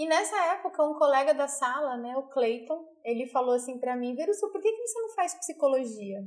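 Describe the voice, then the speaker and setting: The intonation is lively. Delivery comes at a moderate pace. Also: woman. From Brazil, Mato Grosso do Sul (Nova Andradina). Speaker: psychologist and leadership trainer. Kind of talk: interview, telling her life story. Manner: hesitant, many fillers.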